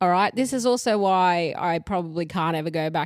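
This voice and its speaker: With an Australian accent, a woman talks at a fairly quick pace in a fairly low pitch with lively intonation, on a very clean recording with a silent background. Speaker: podcast co-host. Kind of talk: casual chat. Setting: lying on a couch at home.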